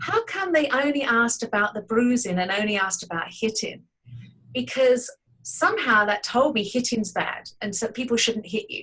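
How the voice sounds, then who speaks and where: A woman with an English accent speaks at a moderate pace. Her fairly high pitch carries lively intonation. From England. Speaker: artist. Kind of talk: interview.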